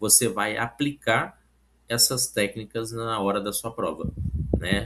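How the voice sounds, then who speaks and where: This man has an unremarkable speaking voice. His speed is moderate and his pitch variation ordinary. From Brazil, Minas Gerais (Oliveira). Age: 40s. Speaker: civil service exam candidate and study coach. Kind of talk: casual vlog talk with product pitch. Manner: informal, with many fillers.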